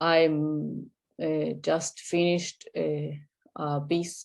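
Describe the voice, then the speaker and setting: A woman speaks at a very deep, low pitch in an Argentine accent. Her pitch variation is ordinary. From Argentina (Buenos Aires). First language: Spanish. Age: 30s. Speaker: artist and clinical psychologist. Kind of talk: interview. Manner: halting, many fillers.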